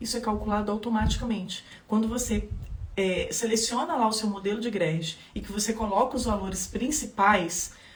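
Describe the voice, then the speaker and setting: The pace is moderate, with ordinary pitch variation. Audible room echo and noticeable background noise fill the recording. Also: woman. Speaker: legal course instructor. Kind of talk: live stream tutorial. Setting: Instagram live.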